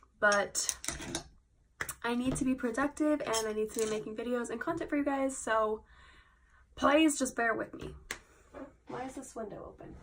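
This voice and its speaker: A woman speaks at a high pitch, her loudness swinging widely. She leaves long, frequent pauses. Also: ordinary pitch variation. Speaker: beauty vlogger. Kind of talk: casual makeup tutorial vlog. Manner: chatty, fast, filler-heavy.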